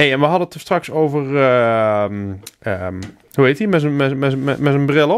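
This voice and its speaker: At a fairly slow pace, a man with a fairly high pitch speaks in an unremarkable speaking voice. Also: lively intonation. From Helmond, North Brabant, Netherlands; North Brabant. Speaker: podcast co-host. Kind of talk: casual chat. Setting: studio. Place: home room. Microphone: studio mic.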